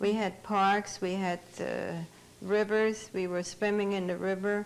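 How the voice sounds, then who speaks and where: At a fairly slow pace, a woman speaks at medium pitch with monotone, flat intonation. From Germany, Bavaria. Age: 70s. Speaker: Holocaust survivor. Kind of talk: testimony.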